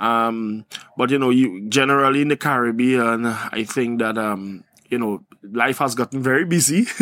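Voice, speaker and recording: Moving at a moderate pace, a man talks at a medium pitch. His tone is bright and sharp, with ordinary pitch variation. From Trinidad and Tobago. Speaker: youth agriculture nonprofit founder. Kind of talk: casual interview. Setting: live recording at a conference. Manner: animated.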